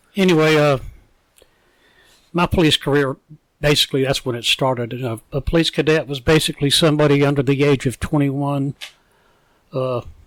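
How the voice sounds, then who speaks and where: In a Southern US accent, the speaker moves at a fairly quick pace with fairly even intonation and long, frequent pauses. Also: man, fairly high pitch for a man, dry, close sound with no echo. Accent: Southern US (Georgia). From US South, Savannah, Georgia. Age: 70s. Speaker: retired police officer. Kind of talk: interview.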